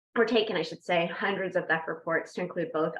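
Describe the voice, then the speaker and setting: Fairly quick speech from a woman with a fairly low pitch. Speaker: police community relations officer. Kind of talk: panel introduction at online community forum. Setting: virtual meeting.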